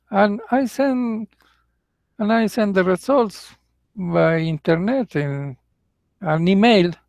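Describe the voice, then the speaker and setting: Speaking with a Mexican accent, a man talks at a high pitch and a very slow pace. Long, frequent pauses break up his speech, and the sound is dry and close with no echo. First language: Spanish. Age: 60s. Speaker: English teacher. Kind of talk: casual monologue. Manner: halting.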